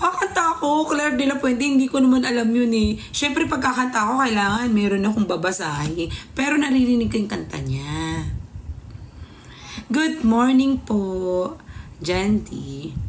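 A woman talks at a moderate pace in an animated tone, her fairly high pitch swinging very widely. Light background noise sits behind her. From Philippines. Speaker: livestreamer. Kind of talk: casual livestream chat reading comments. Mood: playful, teasing. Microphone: phone near.

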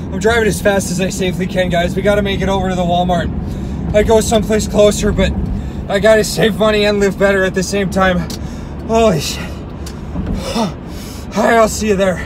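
A man's fairly quick, monotone delivery with flat intonation over noticeable background noise. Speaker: comedic vlogger. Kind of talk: casual vlog chat. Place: car. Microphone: phone near.

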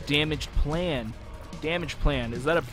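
Music plays behind the speaker. He is a man using ordinary pitch variation at a moderate pace. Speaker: gaming commentator. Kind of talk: let's play commentary.

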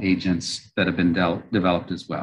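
A man does the talking. The intonation he uses is fairly even. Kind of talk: lecture. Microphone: webcam.

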